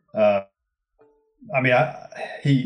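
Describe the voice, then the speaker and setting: A man talks with a Teesside accent. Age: 30s. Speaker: author. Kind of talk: interview.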